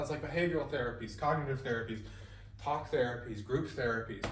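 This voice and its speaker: A man talks at a fairly quick pace with very wide pitch swings, and audible room echo surrounds his voice. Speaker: student presenter. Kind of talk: class presentation. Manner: fast; casual, self-deprecating asides.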